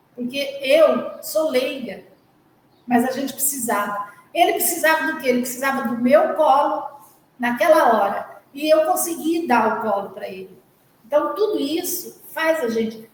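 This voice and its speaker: Speaking at a fairly slow pace in a room with audible echo, a woman uses a high pitch and lively intonation. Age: 60s. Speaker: charity volunteer. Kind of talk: testimony.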